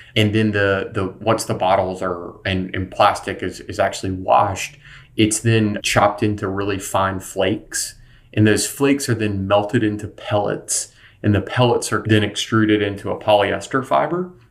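A man speaks at a moderate pace in an unremarkable speaking voice, his fairly low pitch moving with ordinary variation. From North Carolina. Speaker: sustainable apparel company founder. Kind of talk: interview. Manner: frequent repetitions and fillers.

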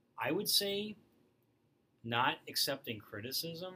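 A man's bright, sharp tone at a very slow pace.

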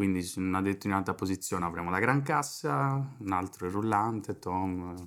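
At a moderate pace, a man speaks in a very deep, low pitch. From Sardinia, Italy. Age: 20s. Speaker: drummer and drum teacher. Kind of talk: casual chat.

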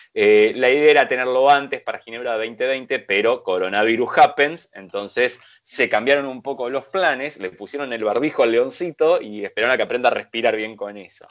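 A man's fairly quick, medium-pitched delivery in a plain, everyday voice, with hardly any pauses, big swings in loudness and ordinary pitch variation, in a very clean recording with a silent background. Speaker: motoring show host. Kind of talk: casual chat.

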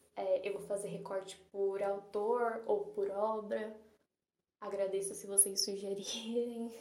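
A woman speaks very slowly with a São Paulo accent, her medium-pitched voice dark and mellow. Her intonation is flat and monotone, with audible room echo. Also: long, frequent pauses. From São Paulo, Brazil. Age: 20s. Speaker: literature student and podcaster. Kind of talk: casual monologue.

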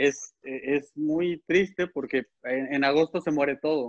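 In a dry, close sound with no echo, a man with an ordinary speaking voice talks with fairly high pitch and fairly even intonation. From Puebla, Mexico. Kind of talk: casual chat.

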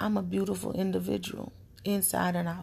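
A woman is speaking. Her pace is moderate. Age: 30s. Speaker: solo podcaster sharing personal thoughts. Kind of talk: late-night personal monologue.

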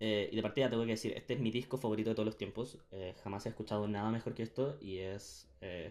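At a very fast pace with hardly any pauses, a man speaks with fairly even intonation. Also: fairly low pitch for a man. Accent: Chilean. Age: 20s. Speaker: podcast host. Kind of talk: casual chat.

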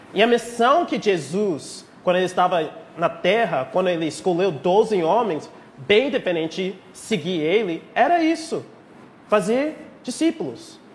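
Here a man with an American accent talks at a high pitch. His voice makes very wide pitch swings. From rural Texas, US. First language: English (speaking Portuguese). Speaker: pastor. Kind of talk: sermon. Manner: halting.

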